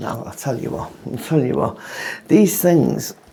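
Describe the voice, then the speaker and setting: Noticeable background noise and audible room echo surround a man who talks at a moderate pace. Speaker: vlogger. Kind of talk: casual vlog monologue. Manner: halting.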